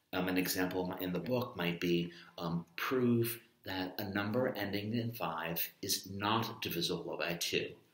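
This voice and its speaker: A man speaks at a fairly low pitch with ordinary pitch variation. Audible room echo is present. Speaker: math teacher. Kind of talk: lecture. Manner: soft-spoken.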